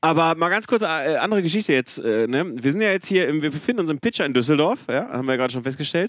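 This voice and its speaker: Here is a man with a plain, everyday voice and a fairly high pitch. He talks at a fairly quick pace with lively intonation. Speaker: podcast co-host. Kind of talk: casual chat. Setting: back room of a rock club before a concert.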